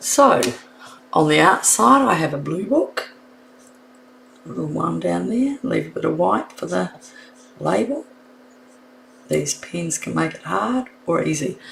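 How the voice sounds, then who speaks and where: A woman with a New Zealand accent at a fairly slow pace, long, frequent pauses and noticeable background noise. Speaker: card making instructor. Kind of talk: live stream tutorial. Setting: live stream. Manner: casual, thinking aloud.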